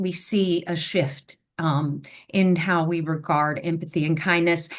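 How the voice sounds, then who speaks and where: A woman speaks in a normal speaking voice at a fairly low pitch. Her intonation is fairly even over a quiet background. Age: 60s. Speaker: education advocate. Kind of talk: panel discussion.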